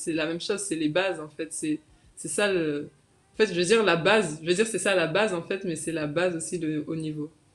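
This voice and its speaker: Fairly low-pitched speech from a woman, at a moderate pace with ordinary pitch variation. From metropolitan France. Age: 20s. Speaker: professional basketball player; guest. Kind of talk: interview. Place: home room. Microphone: video call.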